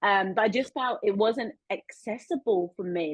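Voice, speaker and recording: The speaker is a woman. She talks with a South London accent. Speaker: podcast host. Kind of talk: casual interview chat.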